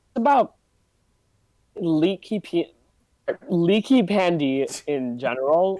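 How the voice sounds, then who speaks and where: A man with a high pitch talks very slowly with long, frequent pauses and very wide pitch swings, in a dry, close sound with no echo. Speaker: gaming podcast guest. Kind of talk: casual chat. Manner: halting.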